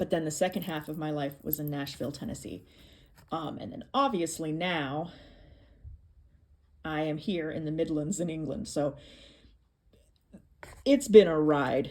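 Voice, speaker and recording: A woman's very deep, low voice with ordinary pitch variation, big swings in loudness and long, frequent pauses. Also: moderate pace. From American, lived in England.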